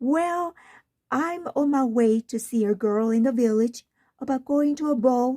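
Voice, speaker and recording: A woman puts on a character voice, pitched high, at a moderate pace. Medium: read story.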